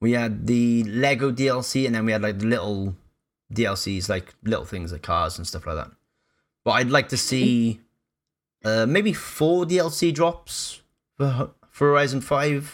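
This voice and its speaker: In a Cardiff accent, a man speaks at a medium pitch and a fairly slow pace, with lively intonation. The recording is very clean, with a silent background. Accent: Welsh (Cardiff). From Wales, Cardiff. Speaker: streamer, former radio presenter. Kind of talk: casual chat.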